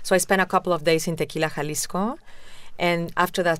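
A woman's very fast, fairly even delivery at a very deep, low pitch, with a Spanish accent. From Mexico City, Mexico. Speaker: tequila company founder. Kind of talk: interview.

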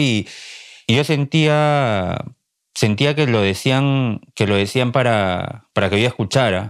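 Speaking very slowly, a man is heard on a very clean recording with a silent background. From Peru, Lima. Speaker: journalist and writer. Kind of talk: interview. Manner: halting, repeats words.

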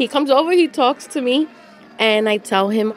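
In a New York accent, a woman speaks at a moderate pace with lively intonation while crowd noise fills the background. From New York City, the Bronx. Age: 50s. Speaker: nurse telling her family search story. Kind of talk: first-person audio diary narration.

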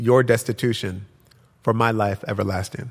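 This is a very clean recording with a silent background. The talking moves at a moderate pace. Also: man. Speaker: poet and author. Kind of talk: poem performed to a live audience, incantatory reading. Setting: stage with audience. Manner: incantatory, rhythmic, repeated refrain of 'look for me'.

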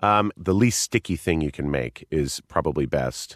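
Dry and close with no echo, a man's voice carries vocal fry, lively intonation and a moderate pace. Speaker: actor and board game fan. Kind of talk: casual interview.

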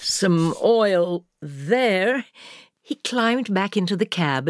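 A quiet background under plain reading aloud

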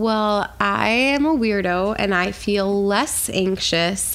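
Speaking very slowly, a woman with an American accent has a medium pitch. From New York City. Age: 20s. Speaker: singer-songwriter. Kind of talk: interview.

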